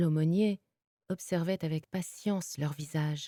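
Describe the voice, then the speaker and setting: A woman's dark, mellow tone at a very slow pace, with a dry, close sound and no echo. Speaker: voice actor. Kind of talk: audiobook reading.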